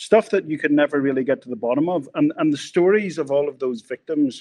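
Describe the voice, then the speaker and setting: In a Northern Irish accent, a man is heard with a dry, close sound with no echo against a quiet background. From Northern Ireland. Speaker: screenwriter and producer, former journalist. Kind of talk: casual interview chat.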